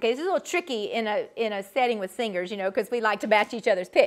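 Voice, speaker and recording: A woman with a Southern US accent. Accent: Southern drawl. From US South, Georgia. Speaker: vocal coach. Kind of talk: online workshop instruction. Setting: video call.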